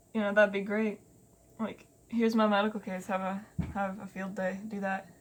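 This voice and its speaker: The voice is somewhat breathy, at a moderate pace. Its intonation is monotone and flat. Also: woman, medium pitch for a woman. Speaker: vlogger. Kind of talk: casual chat. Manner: halting, stuttering.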